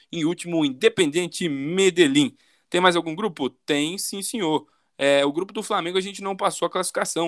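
High-pitched male voice at a moderate pace on a very clean recording with a silent background. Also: dry, close sound with no echo. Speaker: football podcast host. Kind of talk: casual chat.

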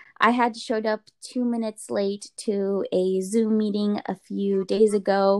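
This woman has a plain, everyday voice at a medium pitch, recorded with a dry, close sound and no echo. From Russian immigrant family, raised in US Pacific Northwest. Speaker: medical student. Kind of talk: casual interview chat.

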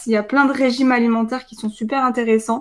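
On a very clean recording with a silent background, a woman speaks at a high pitch. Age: 20s. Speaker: nutrition coach and dietetics student. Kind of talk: casual interview chat.

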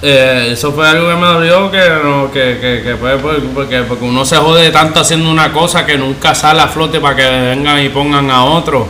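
A man with a fairly high pitch talks at a moderate pace with hardly any pauses and fairly even intonation, amid noticeable background noise and audible room echo. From Puerto Rico, Caguas. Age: 30s. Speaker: skateboarder. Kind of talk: casual chat. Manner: halting, repeats words.

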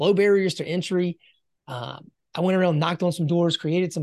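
A man speaks at a high pitch. The sound is dry and close with no echo, over a quiet background. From US South, rural South Carolina. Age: 40s. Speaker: business coach. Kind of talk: casual interview.

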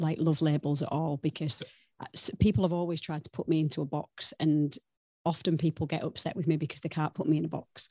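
The tone is dark and mellow, the sound dry and close with no echo, and the pace fairly quick. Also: woman. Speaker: wellness coach. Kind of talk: casual chat.

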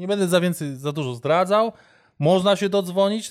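Very fast speech comes from a man with an animated tone. The recording is very clean with a silent background. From Warsaw, Poland. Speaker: amateur basketball player and voice-over artist. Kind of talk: casual chat.

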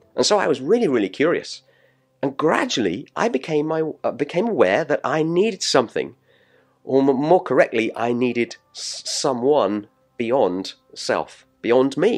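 At a moderate pace, a man speaks in a fairly high pitch with very wide pitch swings. Vocal fry runs through his voice. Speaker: pastor. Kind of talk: sermon.

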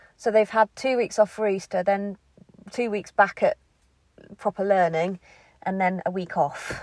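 A woman's moderately paced speech with long, frequent pauses and fairly even intonation, in a dry, close sound with no echo. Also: medium pitch for a woman. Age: 40s. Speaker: home-educating parent, podcast host. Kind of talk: casual monologue. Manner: rambling, hesitant.

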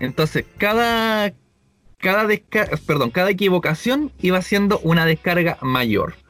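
With music playing behind him, a man talks at a fairly slow pace in a high voice, his intonation lively and his loudness very even. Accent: Chilean. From Chile, Viña del Mar. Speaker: podcast co-host. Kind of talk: casual chat.

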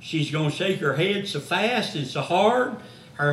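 Fairly slow speech in a Gulf Coast accent with ordinary pitch variation, noticeable background noise and audible room echo. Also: man. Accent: Southern US (Gulf Coast). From US South. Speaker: missionary evangelist. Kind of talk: sermon. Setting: church. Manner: preaching from the floor at a lectern.

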